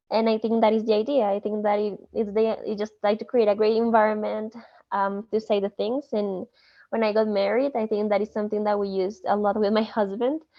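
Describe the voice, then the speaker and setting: A woman speaks in a Spanish accent with a fairly high pitch. Her intonation stays monotone and flat. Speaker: student. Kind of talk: study group discussion.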